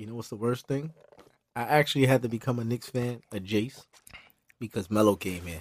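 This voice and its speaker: Talking fairly quickly with a New York accent, a man at medium pitch shows ordinary pitch variation, big swings in loudness and long, frequent pauses. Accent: New York City. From Brooklyn, New York. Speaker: clothing designer. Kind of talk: casual chat.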